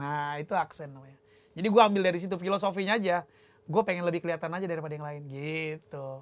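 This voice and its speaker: A man's high-pitched voice at a very fast pace, with ordinary pitch variation and big swings in loudness. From North Sumatra, Indonesia (Sidikalang, Batak); North Sumatra. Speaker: musician, drummer; guest. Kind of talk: casual chat. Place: studio.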